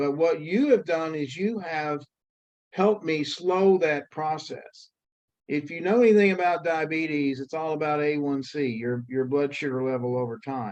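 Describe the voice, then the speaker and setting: A man with an American accent, an ordinary speaking voice, lively intonation and a moderate pace. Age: 60s. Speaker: fitness coaching client. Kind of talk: testimonial interview.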